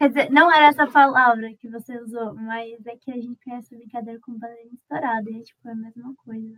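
A woman's high-pitched voice at a very fast pace with hardly any pauses, fairly even intonation and big swings in loudness. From Uberlândia, Minas Gerais, Brazil. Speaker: podcast guest. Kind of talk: casual chat.

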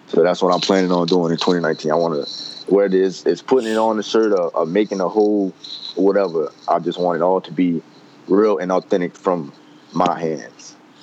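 Over noticeable background noise, a man with a very deep, low pitch speaks at a fairly quick pace with fairly even intonation. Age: 20s. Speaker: college student and clothing brand owner. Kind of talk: casual chat.

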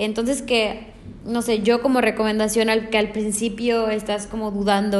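Audible room echo surrounds a woman of medium pitch who speaks at a moderate pace in a monotone, flat intonation. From Mexico. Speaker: hospitality management student. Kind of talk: interview.

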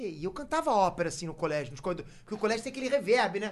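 A high-pitched man speaks at a very fast pace. His intonation is lively. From Rio de Janeiro, Brazil. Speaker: YouTuber. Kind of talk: casual chat.

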